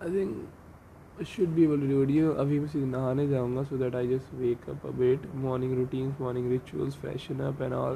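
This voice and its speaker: A man with an Indian accent at a fairly quick pace, with fairly even intonation. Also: medium pitch for a man. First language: Hindi. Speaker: medical student podcaster. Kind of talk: casual monologue. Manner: Hindi-English code-switching.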